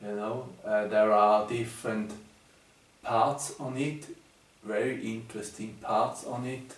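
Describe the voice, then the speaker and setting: A man speaks at a very slow pace with a German accent, with audible room echo. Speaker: numerology teacher. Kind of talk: video presentation. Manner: halting, many fillers.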